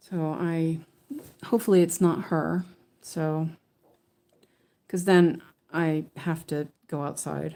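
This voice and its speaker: Speaking very slowly with long, frequent pauses, a woman with a Californian accent uses a fairly low, dark, mellow voice and fairly even intonation. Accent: American (Californian). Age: 50s. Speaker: weaving teacher and stitching streamer. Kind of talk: casual live-stream chat while stitching. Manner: chatty, rambling with many fillers.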